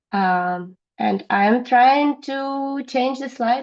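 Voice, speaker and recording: This woman's high voice swings very widely in pitch. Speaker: regulatory compliance expert. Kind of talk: webinar presentation. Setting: online webinar with slides. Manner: halting with frequent fillers.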